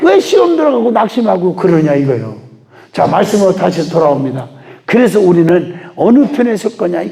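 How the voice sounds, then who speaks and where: With audible room echo and noticeable background noise, a man talks at a high pitch, his voice swinging very widely up and down. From Chungcheong, Korea. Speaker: revival preacher, pastor. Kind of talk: sermon. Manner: fast; clear articulation.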